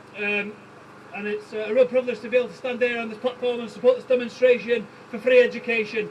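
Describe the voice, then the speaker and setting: A man with a Manchester accent speaks at a very fast pace with an extremely high pitch. His loudness swings a lot over noticeable background noise. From East Manchester, England. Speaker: union organiser. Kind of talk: rally speech. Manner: impassioned.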